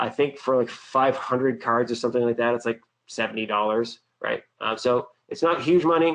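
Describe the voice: A man with an American accent speaks at a moderate pace, his pitch medium and its variation ordinary.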